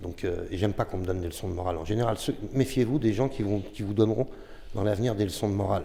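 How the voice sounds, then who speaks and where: A man's fairly low voice, dark and mellow in tone, with ordinary pitch variation and a very fast pace. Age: 60s. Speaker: former sound engineer. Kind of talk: podcast discussion.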